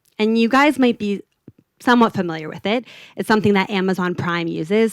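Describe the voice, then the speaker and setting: A woman with a slight Los Angeles accent talks at a fairly quick pace. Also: dry, close sound with no echo. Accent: American, toned-down LA Valley girl. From US, California (LA Valley). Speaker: product designer. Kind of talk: conference talk. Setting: stage with audience.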